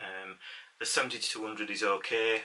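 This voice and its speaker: Over noticeable background noise, a man with a Yorkshire accent talks at a moderate pace. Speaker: amateur photographer. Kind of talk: casual talk to camera. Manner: hesitant, many fillers.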